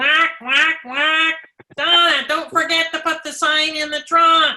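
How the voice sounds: High-pitched, put-on character voice, delivered fairly slowly.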